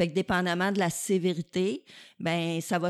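A woman speaks with a Quebec accent at a fairly slow pace, her fairly low pitch held in a monotone, flat intonation. The recording is very clean with a silent background, and the sound is dry and close with no echo. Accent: Québécois French. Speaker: physiotherapy professor. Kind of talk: casual interview.

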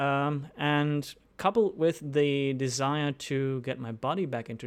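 A man with a German accent is heard on a very clean recording with a silent background. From Germany. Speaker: indie game developer. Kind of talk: podcast interview.

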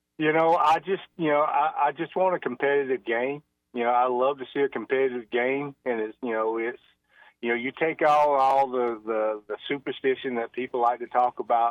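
Using an ordinary speaking voice, a man talks at a medium pitch and a moderate pace. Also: ordinary pitch variation. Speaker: state athletic association executive director. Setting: phone call.

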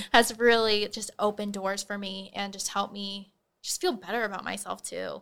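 A woman with an American accent speaks at a moderate pace and a medium pitch, in a monotone, flat intonation. Her loudness swings widely, and the recording is very clean with a silent background. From Nebraska, Holdrege. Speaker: college student and peer financial counselor. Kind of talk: interview. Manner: articulate.

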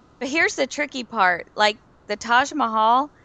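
A woman in a Southern US accent, bright, sharp tone and ordinary pitch variation, with a dry, close sound, no echo and a quiet background. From Florida. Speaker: podcast panelist. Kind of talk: casual chat.

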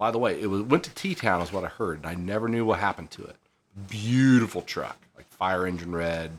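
A normal speaking voice from a man, fairly low-pitched with ordinary pitch variation and a moderate pace, in a very clean recording with a silent background. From US Midwest, southern Illinois. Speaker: police officer. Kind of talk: casual chat.

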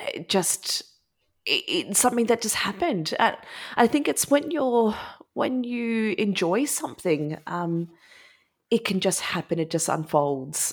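A woman with an Australian accent has a fairly high pitch. She speaks at a fairly slow pace with very wide pitch swings. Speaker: high school French teacher. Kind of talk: casual interview chat.

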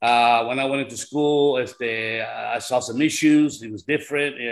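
A man speaks at a moderate pace. He has an unremarkable speaking voice. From California, raised in farmworker community. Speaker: activist. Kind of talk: panel discussion. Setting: video call.

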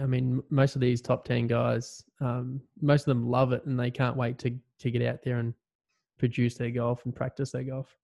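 A man at medium pitch with monotone, flat intonation, moderate pace and a quiet background. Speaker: podcast host. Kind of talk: casual interview chat.

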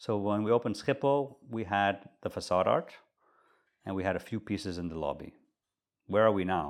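Fairly quick speech from a man with a fairly low voice. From Netherlands. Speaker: hotelier and art collector. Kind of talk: casual interview conversation.

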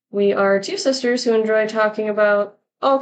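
This is an unforced reading voice with fairly even intonation. Behind it the background stays quiet.

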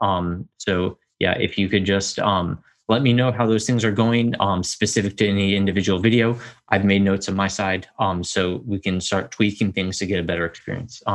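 He has an ordinary speaking voice, fairly low in pitch, with fairly even intonation at a moderate pace. The background is quiet. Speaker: podcast host. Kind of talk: casual solo update. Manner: informal, filler-heavy.

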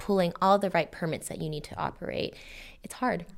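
The recording is very clean, its background silent. This woman's intonation stays fairly even. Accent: Californian. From Los Angeles, Northeast (Frogtown). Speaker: nonprofit urban design director. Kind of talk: interview.

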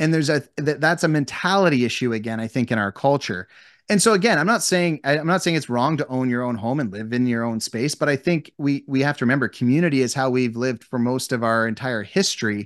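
A man talks at a very fast pace with a Canadian accent and hardly any pauses. His pitch is medium, with ordinary pitch variation, against a quiet background. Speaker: real estate agent. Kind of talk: casual interview.

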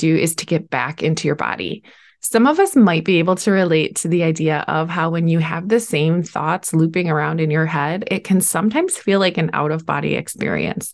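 A woman speaks at a fairly low pitch with ordinary pitch variation, in a plain, everyday voice. The background is quiet. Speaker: podcast host and coach. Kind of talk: podcast interview, conversational.

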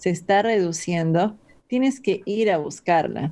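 The tone is dark and mellow. Intonation moves in a lively way. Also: woman. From Peru. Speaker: health coach and kickboxing trainer. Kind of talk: podcast interview.

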